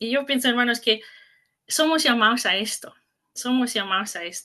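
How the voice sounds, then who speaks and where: A woman's high voice with an English-speaking accent, bright and sharp in tone, with ordinary pitch variation. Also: moderate pace. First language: English (speaking Spanish). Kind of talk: conference talk. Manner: halting, self-correcting.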